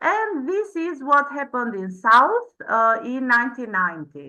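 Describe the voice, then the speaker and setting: Against a quiet background, a woman with an Albanian accent speaks at a moderate pace in a high pitch with a bright, sharp tone. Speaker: PhD researcher. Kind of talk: conference presentation. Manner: halting, many fillers.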